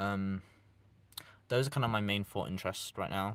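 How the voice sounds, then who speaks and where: This man has a fairly low pitch and a British accent. The recording is very clean, with a silent background. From East Midlands, England. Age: young. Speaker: YouTuber live streamer. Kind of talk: casual live stream chat. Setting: live stream. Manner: casual, halting with restarts.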